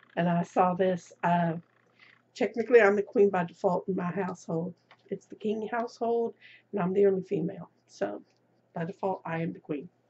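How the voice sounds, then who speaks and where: Somewhat breathy, a woman's medium-pitched voice moves at a moderate pace. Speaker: crafting vlogger. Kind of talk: casual show-and-tell vlog. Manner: hesitant, with fillers.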